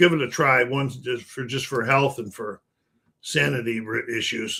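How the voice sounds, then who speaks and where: A man with an American accent, medium pitch, a bright, sharp tone, fairly even intonation and a moderate pace. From Buffalo, New York, US. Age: 70s. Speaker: gaming streamer. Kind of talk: casual live stream chat. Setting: live stream.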